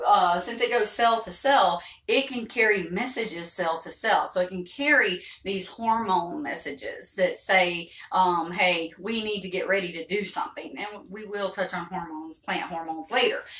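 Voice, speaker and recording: A woman speaks at a moderate pace and medium pitch, with ordinary pitch variation and big swings in loudness. Audible room echo surrounds her voice. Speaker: teacher. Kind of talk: lecture.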